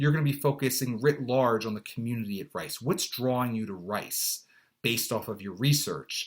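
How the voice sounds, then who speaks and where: Recorded very cleanly against a silent background, a man at a medium pitch speaks with ordinary pitch variation. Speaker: college admissions consultant. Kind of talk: tutorial. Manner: fast.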